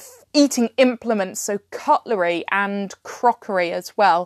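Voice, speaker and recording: Over a quiet background with a dry, close sound and no echo, the speaker talks at a fairly slow pace with a British accent. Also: woman. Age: 30s. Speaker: fantasy writer and podcaster. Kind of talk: solo podcast talk on writing.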